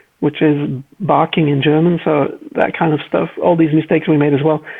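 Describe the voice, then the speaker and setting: A man talks with a Flemish accent at a fairly high pitch. His pace is fairly quick. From Belgium (Flanders, Leuven/Antwerp area). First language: Flemish Dutch. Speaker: car designer. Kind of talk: casual interview chat.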